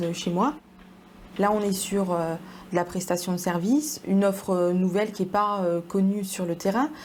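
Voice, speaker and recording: Her intonation fairly even, a woman with a medium pitch speaks at a moderate pace. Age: 20s. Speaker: entrepreneur. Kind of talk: interview testimony. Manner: hesitant, many fillers.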